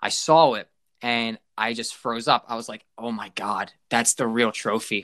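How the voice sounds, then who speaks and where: Bright and sharp in tone, a man talks at medium pitch with fairly even intonation. The recording is very clean, dry and close, with no echo and a silent background. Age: 20s. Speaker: aspiring motorsport broadcaster. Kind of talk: casual interview.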